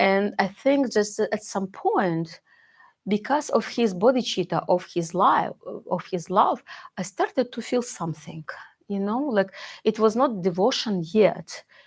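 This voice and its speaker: A woman with a non-native accent speaks at a fairly slow pace and medium pitch, somewhat breathy with ordinary pitch variation, in a very clean recording with a silent background. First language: not English. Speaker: Buddhist teacher. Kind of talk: dharma talk, personal testimony. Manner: halting, many fillers and restarts.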